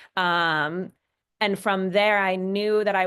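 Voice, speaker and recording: A woman with a Minnesotan accent speaks at a medium pitch with fairly even intonation. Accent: Minnesota. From Minnesota, US. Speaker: fashion designer and brand founder. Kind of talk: panel discussion.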